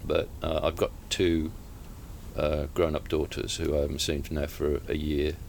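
With vocal fry and a very deep, low pitch, a man speaks at a fairly slow pace with fairly even intonation. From Staffordshire, England. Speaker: author and retired police officer. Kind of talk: interview. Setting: bookshop. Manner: halting.

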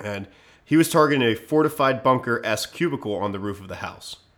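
A man with an American accent has a plain, everyday voice. He talks at a fairly quick pace with lively intonation. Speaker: podcast host. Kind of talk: casual chat.

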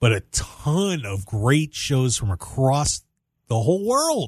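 The speaker has an American accent, lively intonation and a somewhat breathy sound. The background is quiet. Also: man. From US Northeast (Pennsylvania). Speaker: radio host. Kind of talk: casual banter radio show chat. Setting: radio studio.

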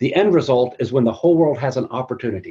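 Against a quiet background, a man talks at medium pitch with ordinary pitch variation in a somewhat breathy, dark, mellow tone. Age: 50s. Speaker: church minister. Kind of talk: webinar discussion.

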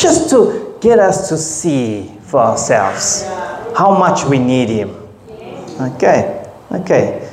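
A man talks at a very slow pace. Room echo is audible, and background noise is noticeable. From South Africa, KwaZulu-Natal. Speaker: pastor. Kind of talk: sermon. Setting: church.

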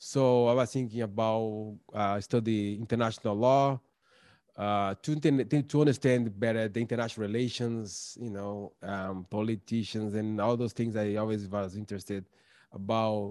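Recorded very cleanly against a silent background, a man with a Portuguese accent speaks at a fairly low pitch. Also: moderate pace. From Brazil, São Paulo. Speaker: documentary filmmaker and tutor. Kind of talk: interview. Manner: halting, many fillers.

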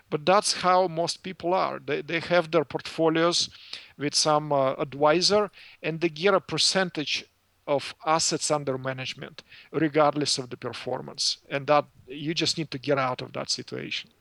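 With a Russian accent and a fairly high pitch, a man speaks at a moderate pace with fairly even intonation. The recording is very clean, with a silent background and a dry, close sound with no echo. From former Soviet Union. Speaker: financial services business owner. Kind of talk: interview. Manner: halting, many fillers.

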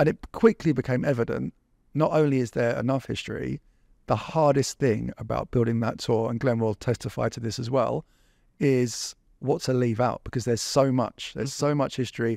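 The sound is dry and close with no echo as a man with an English accent speaks at a moderate pace, his medium pitch carrying a dark, mellow tone and ordinary variation. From England. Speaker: walking tour company founder. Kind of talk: casual chat.

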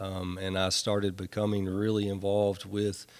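A man with a Tennessee accent talks at a moderate pace and a fairly low pitch. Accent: Southern US (Tennessee). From US South, Nashville, Tennessee. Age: 50s. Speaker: sober living home operator, person in recovery. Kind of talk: testimony. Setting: studio. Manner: halting, many fillers and repetitions.

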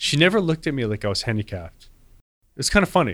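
A man with an American accent, very fast, with very wide pitch swings and vocal fry, on a very clean recording with a silent background. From Wayne, New Jersey. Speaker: podcast host. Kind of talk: interview. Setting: studio.

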